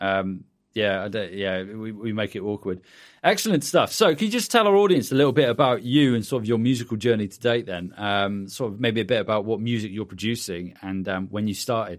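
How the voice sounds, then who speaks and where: A man with a British accent speaks at a fairly quick pace and fairly low pitch, with ordinary pitch variation. The recording is very clean, its background silent. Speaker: podcast host, music producer and mastering engineer. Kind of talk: casual interview and tutorial chat.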